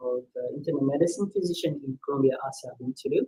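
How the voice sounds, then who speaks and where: Somewhat breathy, a man speaks in a fairly high pitch with a dark, mellow tone. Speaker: internal medicine physician. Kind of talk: health talk on live stream. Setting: live online video stream. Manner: soft-spoken.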